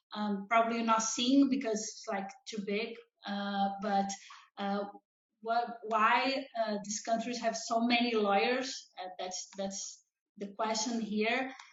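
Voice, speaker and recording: A woman speaks very slowly and in a flat monotone, at a fairly high pitch, with a Brazilian Portuguese accent. Her voice is somewhat breathy, and audible room echo surrounds it. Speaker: law professor. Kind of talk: conference presentation. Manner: halting, many fillers.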